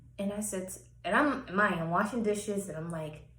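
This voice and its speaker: A woman's voice carries audible room echo. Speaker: personal vlogger. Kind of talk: personal testimony monologue.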